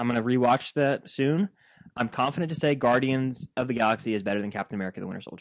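A man's very fast delivery at medium pitch with ordinary pitch variation, on a very clean recording with a silent background. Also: dry, close sound with no echo. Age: 20s. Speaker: podcast co-host. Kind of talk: casual chat.

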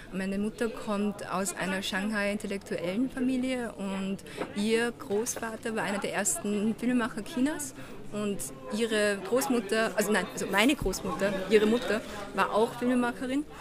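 A woman at a fairly high pitch and moderate pace, with ordinary pitch variation and noticeable background noise. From Vienna, Austria. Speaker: film director. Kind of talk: interview. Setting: outdoors at festival.

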